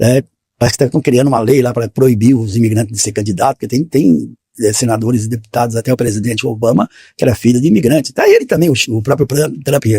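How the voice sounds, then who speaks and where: A man talks at a very fast pace in a medium pitch, with a dark, mellow tone and a somewhat breathy quality. His pitch varies in an ordinary way, and the sound is dry and close with no echo. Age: 60s. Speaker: postal worker. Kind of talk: casual chat.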